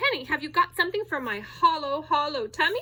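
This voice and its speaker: In a put-on character voice, a woman squeaks at an extremely high pitch, swinging very widely in pitch at a fairly quick pace. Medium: read story. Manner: greedy, demanding.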